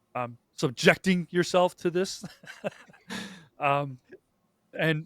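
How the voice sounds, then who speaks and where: A man speaks with a Canadian accent and ordinary pitch variation. The sound is dry and close with no echo. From Canada. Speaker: YouTube host. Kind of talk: casual panel chat. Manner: hesitant, many fillers.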